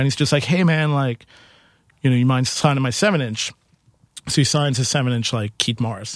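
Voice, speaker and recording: On a very clean recording with a silent background, a man with a New York accent speaks at a medium pitch with ordinary pitch variation. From Queens, New York. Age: 30s. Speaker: musician and bar owner. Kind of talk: casual interview.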